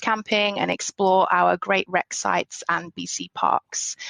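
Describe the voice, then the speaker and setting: A woman with a British accent speaks at a medium pitch and a fairly slow pace. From England. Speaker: business owner. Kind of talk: podcast interview. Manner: hesitant, many fillers.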